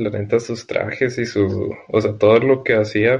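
A man speaks in a somewhat breathy voice. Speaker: podcast host. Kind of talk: casual chat.

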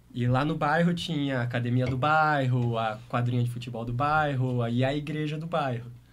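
There is audible room echo as a man of medium pitch speaks at a moderate pace, with hardly any pauses and fairly even intonation. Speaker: DJ and music producer. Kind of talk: casual interview.

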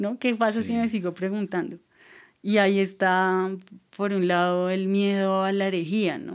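A woman with an ordinary speaking voice, medium in pitch with ordinary pitch variation, talks at a moderate pace on a very clean recording with a silent background. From Colombia, Boyacá. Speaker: writer and musician. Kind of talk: casual interview chat.

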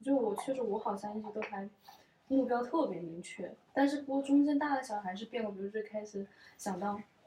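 Her voice is fairly high-pitched, somewhat breathy and dark and mellow in tone, with ordinary pitch variation. The woman speaks at a fairly quick pace. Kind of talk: casual chat. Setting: at a friend's home.

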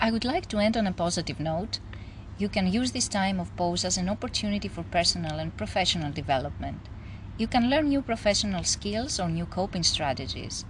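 Talking at a fairly quick pace, a woman speaks with a Greek accent. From Greece. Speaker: psychologist. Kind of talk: interview. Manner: formal.

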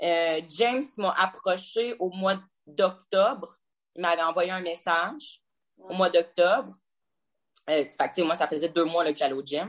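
Using a fairly low pitch with ordinary pitch variation, a woman with a Quebec accent speaks at a fairly slow pace with long, frequent pauses. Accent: Québécois French. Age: 20s. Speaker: fitness competitor. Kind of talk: interview.

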